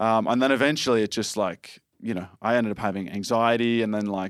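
With an Australian accent, a man talks at a fairly quick pace and medium pitch in a dry, close sound with no echo, on a very clean recording with a silent background. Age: 20s. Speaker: ninja warrior competition winner. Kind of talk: casual chat. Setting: studio.

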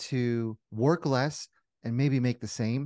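A man with a plain, everyday voice talks at a fairly slow pace and medium pitch with ordinary pitch variation over a quiet background. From New Jersey. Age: 40s. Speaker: commercial real estate investor. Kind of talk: interview.

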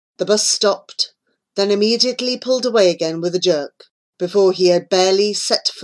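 Someone reads aloud plainly, and the pitch varies an ordinary amount. Nothing else can be heard behind the voice.

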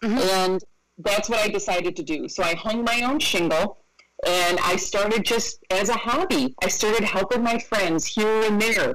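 A woman in a normal speaking voice talks with an American accent at a moderate pace. Her fairly high pitch shows ordinary variation, and her loudness stays very even. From upstate New York, Rochester. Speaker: estate planning lawyer. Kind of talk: interview.

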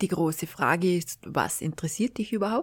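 With an ordinary speaking voice, a woman talks at a moderate pace in a fairly low pitch with ordinary pitch variation on a very clean recording with a silent background. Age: 40s. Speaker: podcast host and life coach. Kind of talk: solo podcast monologue. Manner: warm, informal.

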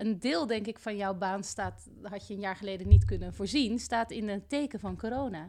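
Her voice dark and mellow with vocal fry, a woman speaks at a moderate pace and a medium pitch. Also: ordinary pitch variation, hardly any pauses. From Rotterdam, Netherlands. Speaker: teacher and podcast host. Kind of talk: interview. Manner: halting, many fillers.

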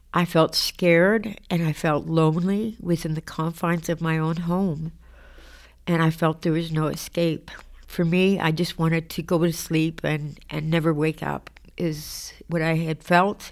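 A woman speaks in a monotone, flat intonation in a very clean recording with a silent background. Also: fairly low pitch for a woman, fairly slow pace. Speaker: formerly homeless person sharing story. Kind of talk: personal testimony. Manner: halting, hesitant with repeats.

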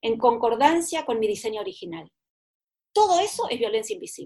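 Her pitch swings very widely as the woman talks. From Argentina. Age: 60s. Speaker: author and therapist. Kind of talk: interview.

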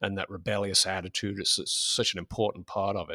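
A man with an English accent at a fairly quick pace, in a dry, close sound with no echo. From England. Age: 50s. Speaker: fanzine editor. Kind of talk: interview. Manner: halting.

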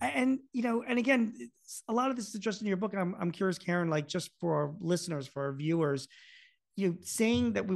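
A man with an American accent speaks fairly quickly with lively intonation in an unremarkable speaking voice. The background is quiet. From US Northeast, Philadelphia. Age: 50s. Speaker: podcast host, business author. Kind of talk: interview.

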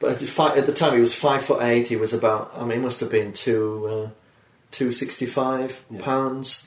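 A man talks at a moderate pace in a medium pitch with fairly even intonation. Noticeable background noise is present. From northeast England, Durham. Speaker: comedian. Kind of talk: casual chat. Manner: dry, deadpan.

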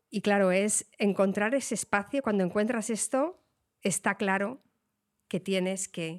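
A woman speaks at a fairly slow pace with a medium pitch. The recording is very clean, with a silent background. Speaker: illustrator, writer and science communicator. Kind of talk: casual interview chat. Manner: animated.

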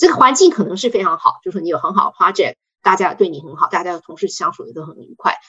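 A woman rushes along at a very fast pace, with big swings in loudness. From Taiwan. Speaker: pharmaceutical regulatory affairs executive. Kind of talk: interview.

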